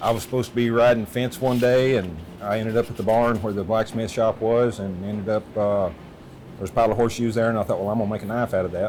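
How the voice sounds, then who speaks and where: The man speaks very fast at a medium pitch with fairly even intonation. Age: 60s. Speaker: knife maker, blacksmith. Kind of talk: documentary interview. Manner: halting, many fillers.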